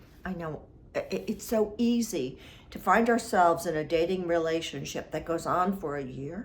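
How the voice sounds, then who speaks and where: A woman speaks at a fairly slow pace with lively intonation. Her medium-pitched voice is somewhat breathy. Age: 70s. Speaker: relationship advice vlogger. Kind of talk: advice monologue.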